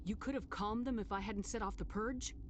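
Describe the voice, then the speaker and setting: Over loud background noise, a female-sounding voice does a put-on character voice at a medium pitch, racing along at a very fast pace. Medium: video game. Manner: calm, direct.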